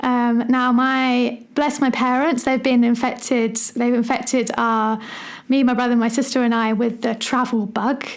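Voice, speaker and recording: A woman speaks in a high pitch at a fairly slow pace. Her intonation is monotone and flat, her loudness very even. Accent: English. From England. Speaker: primary school teacher and podcast host. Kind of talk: solo podcast monologue. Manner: casual, with many fillers.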